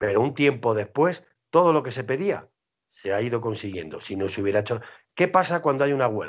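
Over a quiet background, the speaker moves at a fairly quick pace with very wide pitch swings. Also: man, medium pitch for a man. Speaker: heavy metal singer and band leader; interviewee. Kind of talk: casual interview. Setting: video call. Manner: animated. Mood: argumentative, political. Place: home room. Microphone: video call.

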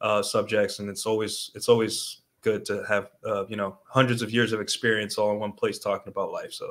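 Speaking at a fairly quick pace, a man has a fairly low pitch that moves little and a fairly bright tone.

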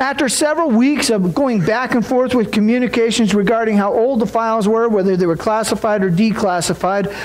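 Pitched high, a man speaks at a moderate pace with ordinary pitch variation. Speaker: preacher. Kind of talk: sermon. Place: church.

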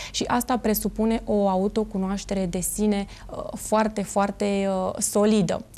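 Monotone and flat, a woman speaks at a fairly slow pace with very even loudness. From Romania, Craiova; Romania. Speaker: amateur actress, event entertainer; amateur actress. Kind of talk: TV interview. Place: studio. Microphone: lapel.

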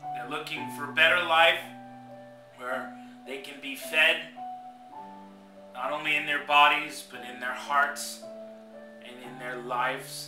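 The speech moves at a fairly slow pace with long, frequent pauses. Clear music plays in the background. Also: man, fairly high pitch for a man, ordinary pitch variation. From Hong Kong. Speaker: pastor. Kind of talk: spoken word poetry, sermon-like. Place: home room. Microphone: webcam.

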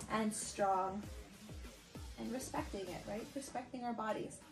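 The voice moves at a moderate pace with clear music in the background. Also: woman. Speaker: fitness instructor. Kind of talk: workout instruction. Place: home room.

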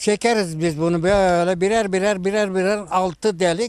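A man speaks at a high pitch and a very slow pace. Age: 80s+. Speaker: folk flute player and instrument maker. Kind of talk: interview answer.

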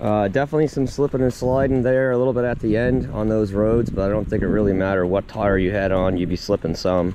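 The speech comes at a very fast pace with hardly any pauses, very even loudness and ordinary pitch variation, recorded with a dry sound with no echo amid noticeable background noise. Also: man, fairly low pitch for a man. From Nova Scotia, Canada. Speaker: car reviewer vlogger. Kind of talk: casual vlog review while driving. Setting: in a truck outdoors. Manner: casual, conversational, chatty. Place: forest. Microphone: phone near.

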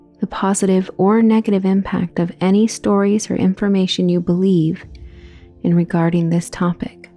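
A woman's voice at medium pitch, monotone and flat in intonation, very even in loudness, at a moderate pace, with music in the background. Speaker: meditation guide. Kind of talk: guided meditation. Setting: soft ambient background music. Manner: soft, calming.

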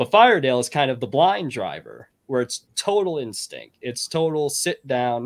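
With a normal speaking voice, a man talks at a moderate pace, fairly high-pitched and with lively intonation. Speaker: fiction writer. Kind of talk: casual chat. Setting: video call.

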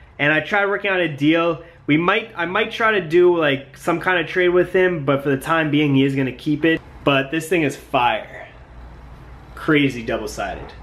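A man is talking at a moderate pace. His pitch shows ordinary variation. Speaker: vintage clothing reseller vlogger. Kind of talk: casual vlog chat. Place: home room. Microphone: phone near.

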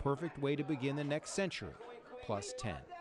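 Over noticeable background noise, a man speaks at a fairly quick pace with very wide pitch swings, the sound dry with no echo. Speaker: TV news reporter. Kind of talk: TV news report narration. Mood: warm, upbeat feature tone.

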